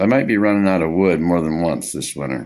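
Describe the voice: Delivery comes at a fairly quick pace with lively intonation. The tone is slightly mellow. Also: man, low pitch for a man.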